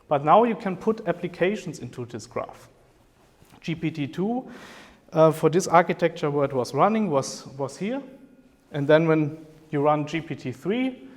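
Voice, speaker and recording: A man with a German accent speaks in a fairly high pitch with lively intonation. He keeps a moderate pace broken by long, frequent pauses. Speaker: professor. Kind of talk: lecture. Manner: hesitant with fillers.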